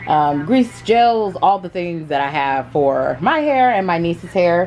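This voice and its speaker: A woman speaks in a normal speaking voice, with a fairly low pitch, ordinary pitch variation and a moderate pace, over light background noise. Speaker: home organizing vlogger. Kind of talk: casual vlog chat. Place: home room. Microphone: phone near.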